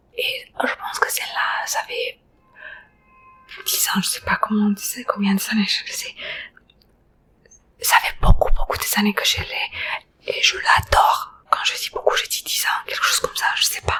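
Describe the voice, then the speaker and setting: A woman whispering at a fairly slow pace, with long, frequent pauses and noticeable background noise. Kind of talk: ASMR. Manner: chatty, rambling.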